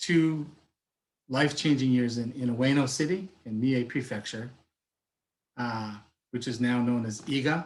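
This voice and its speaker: At a moderate pace, a man talks in a somewhat breathy voice of medium pitch, his intonation fairly even. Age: 50s. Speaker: life coach. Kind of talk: webinar talk.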